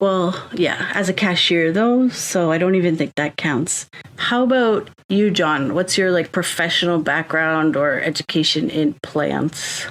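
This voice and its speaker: A woman with a General American accent uses a normal speaking voice, fairly low in pitch with ordinary pitch variation. She speaks at a fairly slow pace with hardly any pauses and very even loudness, on a very clean recording with a silent background. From South Florida, US. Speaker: podcast co-host. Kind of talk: casual chat.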